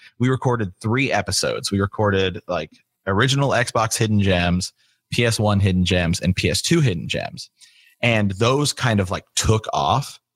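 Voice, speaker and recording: Recorded very cleanly against a silent background, dry and close with no echo, a man speaks at a fairly low pitch with a Midwestern US accent. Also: ordinary pitch variation, moderate pace. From small-town Ohio. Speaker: podcaster. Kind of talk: casual interview chat.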